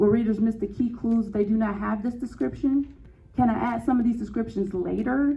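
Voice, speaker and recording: Against noticeable background noise, a woman with an American accent talks at a fairly quick pace, with a fairly high pitch and fairly even intonation. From Gary, Indiana, US Midwest. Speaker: novelist giving a writing talk. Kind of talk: presentation to a writers' group.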